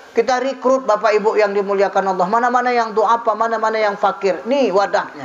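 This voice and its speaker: Over noticeable background noise, a man with a high-pitched voice speaks at a fairly quick pace. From North Sumatra, Indonesia (Mandailing Batak). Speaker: Islamic preacher. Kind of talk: religious sermon to a mosque audience. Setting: mosque gathering. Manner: lively, humorous.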